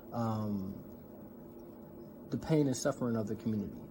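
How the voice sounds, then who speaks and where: A man speaks with an American accent. His tone is dark and mellow, with ordinary pitch variation. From US Midwest, North Minneapolis. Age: 20s. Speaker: seminary graduate, community organizer. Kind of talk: talk in an online community event. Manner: casual, with many fillers.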